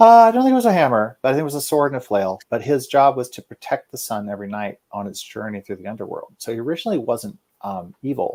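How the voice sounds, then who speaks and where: A very fast man with an Oklahoma accent, medium pitch and lively intonation. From Oklahoma, Guthrie. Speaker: fantasy author. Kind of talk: interview. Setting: live show.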